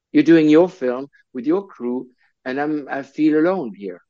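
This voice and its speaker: A man with a French accent, fairly high-pitched and lively in intonation, against a quiet background. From Switzerland. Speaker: film director. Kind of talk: interview. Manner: halting, many repetitions.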